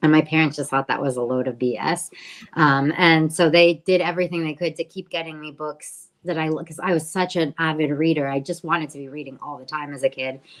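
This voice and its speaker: A woman's very deep, low voice with an American accent, at a fairly quick pace with hardly any pauses. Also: fairly even intonation. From Mexico City, raised in the US from childhood. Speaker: book editor. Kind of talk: webinar Q&A, personal account. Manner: hesitant, many fillers and restarts.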